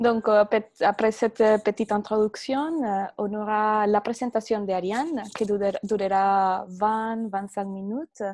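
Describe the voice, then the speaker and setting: Her pitch sits fairly high and her intonation stays fairly even. The woman talks at a very slow pace. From Venezuela. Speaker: particle physicist; conference host. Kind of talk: moderating a webinar. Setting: video call. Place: office. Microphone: earbuds.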